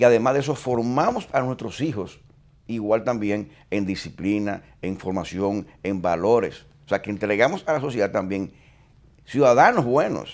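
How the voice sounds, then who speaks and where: Here is a man with a plain, everyday voice at medium pitch. His pace is moderate and his pitch variation ordinary. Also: very clean recording, silent background. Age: 60s. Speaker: retired police chief. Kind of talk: interview.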